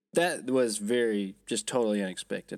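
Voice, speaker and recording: At a moderate pace, a man with a fairly low pitch talks in a plain, everyday voice. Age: 30s. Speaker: podcast co-host. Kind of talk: casual chat. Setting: travelling in Las Vegas, remote recording.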